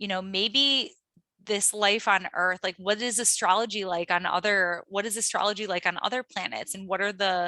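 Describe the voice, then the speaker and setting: Dry and close with no echo, a woman with a Midwestern accent speaks in a bright, sharp tone with fairly even intonation. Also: very clean recording, silent background. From US Midwest, Cleveland Ohio. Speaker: astrologer. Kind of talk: interview.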